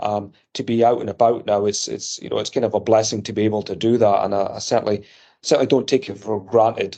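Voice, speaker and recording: A man's medium-pitched voice with a slight Scottish accent, a very fast pace and monotone, flat intonation. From Edinburgh, Scotland. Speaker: electronics company executive. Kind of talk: interview.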